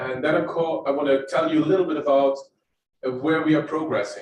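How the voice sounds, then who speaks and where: A man speaks with a Dutch accent at a fairly quick pace. His voice is somewhat breathy. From Netherlands. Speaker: neuroscientist. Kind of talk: lecture. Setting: presenting standing to live and online audience.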